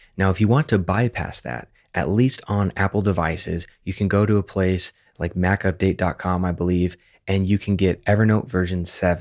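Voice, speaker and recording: At a moderate pace over a quiet background, a man with an unremarkable speaking voice talks in a fairly low pitch with ordinary pitch variation. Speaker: software tutorial host. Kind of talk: tutorial.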